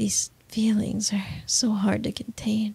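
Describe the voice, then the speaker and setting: Soft-spoken delivery at a very slow pace. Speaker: voice actor in roleplay audio. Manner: soft, intimate ASMR murmur.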